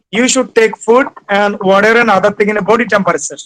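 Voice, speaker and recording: This man talks with a Bengali accent, his high pitch moving with ordinary variation. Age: 60s. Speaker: retired civil servant. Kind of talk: webinar lecture.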